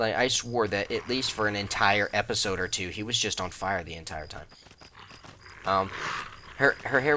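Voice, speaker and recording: Over noticeable background noise, a man with a fairly low pitch and ordinary pitch variation speaks with long, frequent pauses. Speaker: gaming YouTuber. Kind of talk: let's play commentary. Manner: casual, rambling with many fillers.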